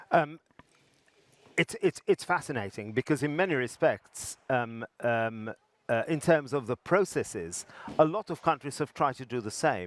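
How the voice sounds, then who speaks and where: A man speaks with an English accent. The sound is dry and close, with no echo. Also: fairly high pitch for a man, lively intonation, moderate pace. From England. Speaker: interviewer at health technology conference. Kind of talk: interview. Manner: halting, many fillers.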